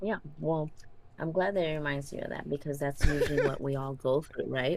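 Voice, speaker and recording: The speaker moves at a fairly quick pace with fairly even intonation. Background noise is noticeable. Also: woman, very deep, low pitch for a woman. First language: not English. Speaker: psychologist. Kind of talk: casual chat. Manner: halting.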